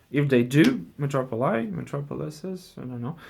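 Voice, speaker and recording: The man's voice rests at a medium pitch. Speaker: board game explainer. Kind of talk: tutorial. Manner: halting, many fillers.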